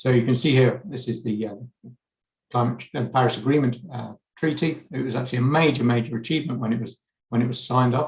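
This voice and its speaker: With an English accent, a man talks at a fairly quick pace in a medium pitch, somewhat breathy and with fairly even intonation. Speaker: chemistry researcher. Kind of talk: conference lecture. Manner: hesitant, frequent fillers and repeats.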